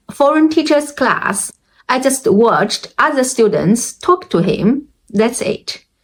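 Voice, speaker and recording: With a Chinese accent, a woman speaks using lively intonation. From China. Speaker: language learning vlogger. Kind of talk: personal experience talk. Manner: halting.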